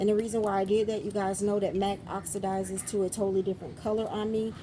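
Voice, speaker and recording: A woman's medium-pitched, somewhat breathy voice, dark and mellow in tone, with monotone, flat intonation. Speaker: beauty vlogger. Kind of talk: product review vlog. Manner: fast.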